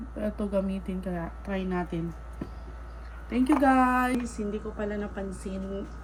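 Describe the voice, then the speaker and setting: A woman's very slow speech in a room with audible echo. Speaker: YouTuber and stray cat rescuer. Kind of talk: casual unboxing vlog.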